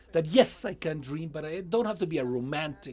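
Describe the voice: Speaking at a fairly quick pace, a man uses a fairly high pitch, lively intonation and a slightly mellow tone.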